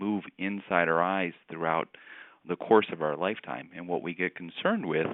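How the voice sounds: A man speaks in a low pitch with ordinary pitch variation.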